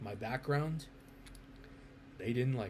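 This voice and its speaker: Here is a man talking. He speaks with an American accent. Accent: sounds very American. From US Midwest, Chicago suburbs. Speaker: vlogger. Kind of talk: personal monologue. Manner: halting.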